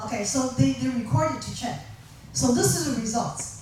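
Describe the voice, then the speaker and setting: Amid noticeable background noise and audible room echo, a woman with a Chinese accent talks at a moderate pace, her pitch swinging very widely. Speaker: professor. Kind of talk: lecture. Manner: halting, many fillers.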